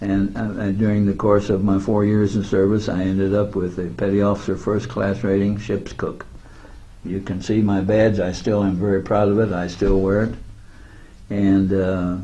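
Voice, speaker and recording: With an American accent, a man speaks in a fairly low pitch and a monotone, flat intonation, with audible room echo around him. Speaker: war veteran. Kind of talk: interview. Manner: halting.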